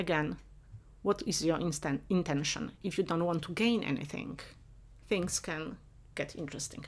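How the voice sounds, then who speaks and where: Speaking with a Polish accent at a moderate pace, a woman with a fairly low pitch uses lively intonation and long, frequent pauses, in a very clean recording with a silent background. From Poland, Upper Silesia. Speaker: professor. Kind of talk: interview.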